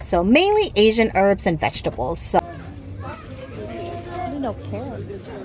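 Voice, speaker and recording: A woman speaks at a fairly slow pace with long, frequent pauses and big swings in loudness. Noticeable background noise is present. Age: 50s. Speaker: lifestyle vlogger. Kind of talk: casual talk to camera.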